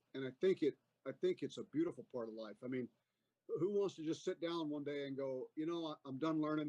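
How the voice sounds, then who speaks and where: The sound is dry and close, with no echo. A man with a plain, everyday voice, pitched fairly high, speaks at a fairly quick pace. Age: 60s. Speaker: army veteran. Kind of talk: casual interview chat.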